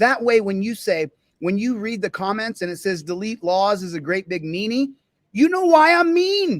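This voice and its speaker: In a dry, close sound with no echo, a man with a high pitch speaks in an animated tone, his pitch swinging very widely. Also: moderate pace. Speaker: live streamer, police accountability commentator. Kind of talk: live stream chat, reading a report.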